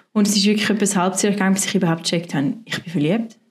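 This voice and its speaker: A woman speaks very fast at medium pitch, somewhat breathy. Her intonation stays fairly even. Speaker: pastor. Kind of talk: interview testimony.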